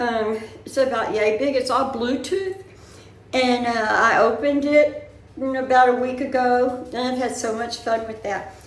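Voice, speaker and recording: With a Southern US accent and a high pitch, a woman speaks amid noticeable background noise and audible room echo. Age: 70s. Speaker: vlogger. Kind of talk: casual chat. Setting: indoors, bedroom.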